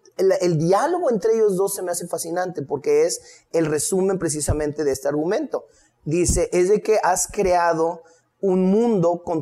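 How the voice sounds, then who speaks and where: A man's high-pitched voice with a dark, mellow tone and ordinary pitch variation. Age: 50s. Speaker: history lecturer. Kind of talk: casual chat.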